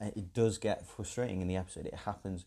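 A man with an English accent speaks at a fairly quick pace and fairly low pitch. His tone is dark and mellow, with fairly even intonation. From England. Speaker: podcast host, TV reviewer. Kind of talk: solo review monologue. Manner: hesitant, many fillers.

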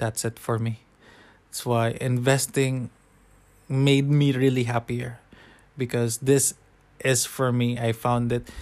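In a Filipino accent, a man at a medium pitch speaks at a very slow pace, monotone and flat, with long, frequent pauses. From Philippines. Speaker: nurse and personal finance blogger. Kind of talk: solo podcast talk about personal finance. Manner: halting, with fillers and some stuttering.

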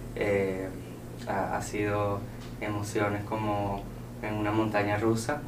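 Very slow speech from a man with a fairly low pitch, room echo clearly audible. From Venezuela, Caracas. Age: 20s. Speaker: entrepreneur and student. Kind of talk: interview. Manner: cheerful.

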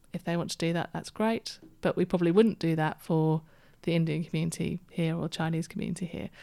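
The voice, in a British accent, has a dark, mellow tone and monotone, flat intonation at a very fast pace. The recording is very clean, with a silent background. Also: woman, fairly low pitch for a woman. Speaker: community services manager. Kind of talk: interview.

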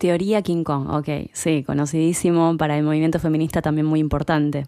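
A woman with a Rioplatense accent, her pitch very deep and low, at a moderate pace in a flat monotone. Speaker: podcast host. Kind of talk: interview conversation; podcast intro. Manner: halting.

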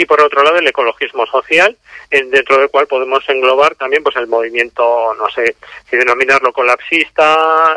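A man talks at a moderate pace and a medium pitch, his intonation fairly even. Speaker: author and activist. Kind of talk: interview. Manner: halting, many fillers.

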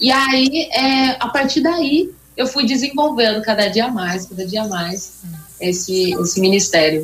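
Over noticeable background noise, a woman speaks at a fairly slow pace. Her fairly high voice moves in very wide pitch swings. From São Paulo state interior, Brazil. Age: 20s. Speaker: gospel singer. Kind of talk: interview.

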